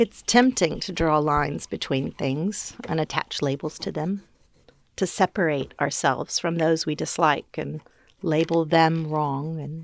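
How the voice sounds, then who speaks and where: A woman with an American accent, very deep and low in pitch with ordinary pitch variation, at a fairly slow pace on a very clean recording with a silent background. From US South, Georgia. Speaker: academic commentator. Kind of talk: scripted narration.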